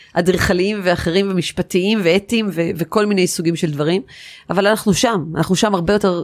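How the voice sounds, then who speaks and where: Recorded very cleanly against a silent background, a woman speaks at a moderate pace with a medium pitch and an animated tone. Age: 40s. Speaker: architect. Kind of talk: interview.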